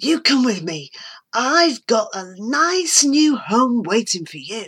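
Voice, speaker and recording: A woman puts on a high-pitched character voice, speaking at a fairly slow pace with very wide pitch swings. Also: very clean recording, silent background. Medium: read story. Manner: cheery, homely.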